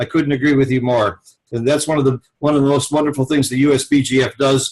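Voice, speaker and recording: A somewhat breathy, fairly high-pitched man at a fairly quick pace. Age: 70s. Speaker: podcast host, backgammon teacher. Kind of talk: casual interview.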